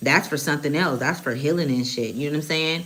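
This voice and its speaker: Audible room echo surrounds a woman whose voice has a very deep, low pitch. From Oakland, California. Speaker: spiritual reader / channeler. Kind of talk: live tarot channeling stream. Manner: casual, profane, conversational.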